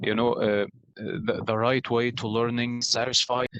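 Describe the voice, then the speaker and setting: With an Egyptian accent, a man speaks at a medium pitch in a dry, close recording with no echo. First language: Arabic. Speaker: pharmacy student and English learner. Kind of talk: casual interview. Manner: halting, many fillers.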